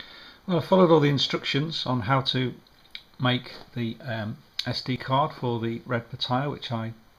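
A man mumbles at a moderate pace in a medium-pitched voice. His pitch varies in an ordinary way. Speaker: amateur radio operator. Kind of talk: screen-recorded tutorial narration. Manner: hesitant, mumbling. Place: home room.

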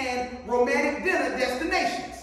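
The speech moves at a moderate pace. Strong room echo fills the recording. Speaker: pastor. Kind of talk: sermon. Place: church. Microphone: podium.

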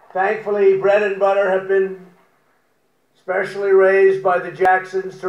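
The intonation is monotone and flat, with audible room echo. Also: man. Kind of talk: prepared humorous speech. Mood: wry, joking. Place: garden. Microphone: podium.

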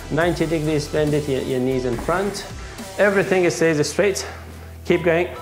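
The speech moves at a moderate pace with clear music in the background. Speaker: fitness trainer. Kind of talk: workout instruction. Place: empty room.

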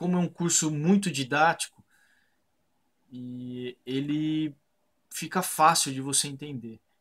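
Talking at a very slow pace with long, frequent pauses, a man with a fairly high pitch and ordinary pitch variation shows big swings in loudness. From Brazil, Sorocaba (São Paulo state). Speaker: architect and online course student. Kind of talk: customer testimonial. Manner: hesitant, with fillers and repeated words. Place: home room. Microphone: webcam.

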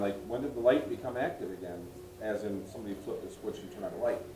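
A man talks at a very fast pace. Light background noise and audible room echo come through. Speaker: local guide or museum volunteer. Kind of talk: storytelling to a group. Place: home room. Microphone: camera far.

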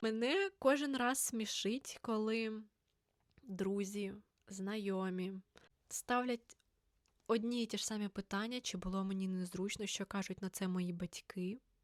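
In a dry, close sound with no echo, a woman speaks with fairly even intonation and long, frequent pauses. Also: medium pitch for a woman, fairly slow pace. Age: 20s. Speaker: author and teacher, book blogger. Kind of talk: casual vlog monologue.

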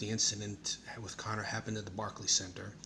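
Light background noise sits behind a man's voice. His intonation is monotone and flat. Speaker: vlogger. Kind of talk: casual vlog commentary. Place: home room. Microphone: phone near.

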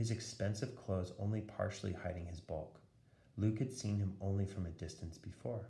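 A plain read-aloud delivery

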